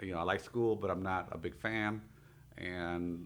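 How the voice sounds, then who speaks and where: Speaking with a Spanish accent, a man uses a very deep, low pitch and fairly even intonation. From Mexico-born, raised in Torrance, California. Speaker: financial services business owner. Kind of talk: radio interview. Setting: radio studio. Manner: hesitant with fillers.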